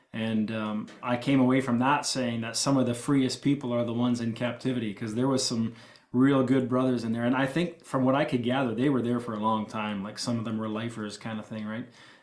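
This man talks at a fairly quick pace with hardly any pauses, his medium-pitched voice flat and monotone. Noticeable background noise sits behind him. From Ontario, Canada. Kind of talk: casual interview.

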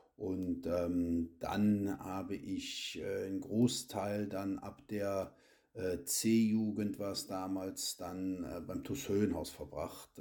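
The speech unfolds at a very slow pace. The recording is very clean, with a silent background. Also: man. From Cologne, Germany. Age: 40s. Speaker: amateur football youth coach. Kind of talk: podcast interview. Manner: hesitant, many filler sounds.

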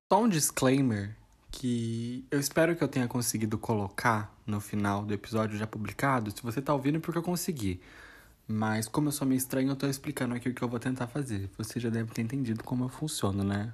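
A man speaks at a fairly quick pace with a somewhat breathy voice and ordinary pitch variation. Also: medium pitch for a man. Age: 20s. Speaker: podcaster. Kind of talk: casual monologue. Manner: rambling, halting with repetitions.

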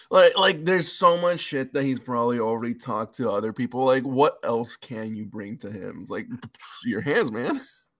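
This man has a plain, everyday voice with an American accent and medium pitch. He talks at a moderate pace with lively intonation and big swings in loudness. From California (LA and Bay Area), Mexican parents. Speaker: stand-up comedian. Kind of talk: casual chat.

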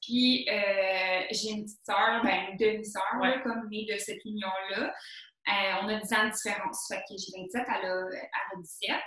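With a normal speaking voice at medium pitch, a woman talks at a fairly slow pace in a fairly even intonation, her loudness swinging widely. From Quebec, Laurentides (Saint-Jérôme). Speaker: teacher. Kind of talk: casual interview.

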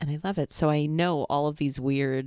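With an American accent, a woman speaks at a moderate pace. Her voice is very deep and low, with a dark, mellow tone. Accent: toned-down New York. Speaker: podcast co-host. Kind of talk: casual chat. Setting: home recording with headset.

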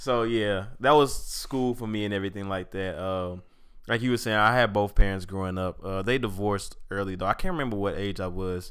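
A man with an American accent uses an ordinary speaking voice, fairly low in pitch, with ordinary pitch variation at a moderate pace. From St. Louis, Missouri. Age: 20s. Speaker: podcast co-host. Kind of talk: casual chat.

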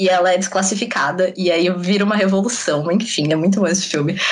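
A woman talks at a fairly quick pace, with noticeable background noise and audible room echo around her. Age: 20s. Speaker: former gymnast and communications student. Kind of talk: casual chat.

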